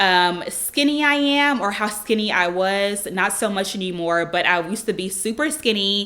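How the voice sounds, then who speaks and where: A woman's bright, sharp and bubbly voice at a medium pitch, with ordinary pitch variation and a moderate pace. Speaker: lifestyle YouTuber. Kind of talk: casual Q&A vlog.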